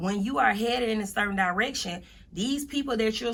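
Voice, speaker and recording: A woman's fairly high, bright, sharp voice at a fairly quick pace with ordinary pitch variation. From US South. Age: 30s. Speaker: motivational speaker. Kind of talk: interview. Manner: casual.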